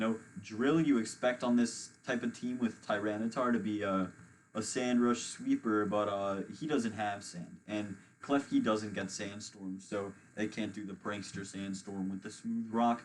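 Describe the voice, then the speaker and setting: A man with a plain, everyday voice, fairly low in pitch, fairly even in intonation and fairly slow in pace. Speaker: competitive gaming commentator. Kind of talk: live commentary.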